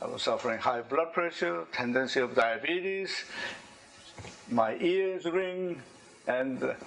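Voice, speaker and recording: Speaking with a Korean accent at a fairly slow pace, a man uses a high pitch and lively intonation, leaving long, frequent pauses, while noticeable background noise runs underneath. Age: 70s. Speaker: engineer and inventor giving a talk. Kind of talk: presentation to an audience. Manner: halting.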